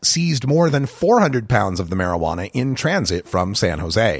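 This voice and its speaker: Vocal fry marks a man's medium-pitched voice as he speaks at a fairly quick pace with very wide pitch swings. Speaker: news reader. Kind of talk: scripted newsreading, formal broadcast delivery of headlines. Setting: studio. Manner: brisk, even, authoritative; formal, neutral.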